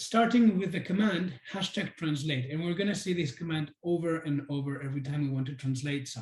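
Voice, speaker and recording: Speaking at a fairly quick pace with hardly any pauses, a man uses a fairly high pitch. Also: ordinary pitch variation. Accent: Spanish. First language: Spanish. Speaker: webinar presenter. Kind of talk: software demo webinar. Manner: hesitant, many fillers.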